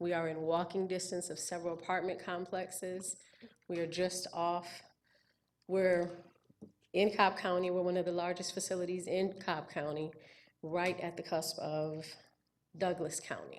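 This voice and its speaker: A woman speaks at a moderate pace with a fairly low pitch and monotone, flat intonation. Her pauses are long and frequent. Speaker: applicant at county zoning hearing. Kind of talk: public hearing testimony. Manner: halting.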